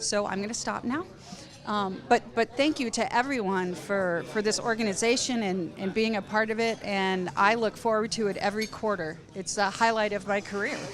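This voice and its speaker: There is noticeable background noise in this clip. A woman talks at a medium pitch. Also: ordinary pitch variation, moderate pace. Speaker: physician. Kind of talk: panel discussion. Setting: conference round table.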